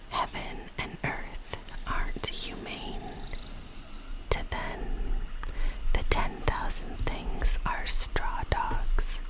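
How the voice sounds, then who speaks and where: Someone whispers at a very slow pace, with long, frequent pauses and noticeable background noise. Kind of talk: ASMR poetry reading, whispered. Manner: whispered, soft.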